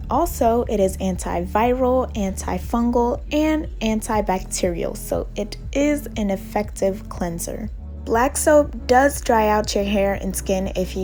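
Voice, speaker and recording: With an American accent, a woman speaks at a fairly slow pace with hardly any pauses while music plays in the background. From United States. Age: young. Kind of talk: casual hair routine talk to camera.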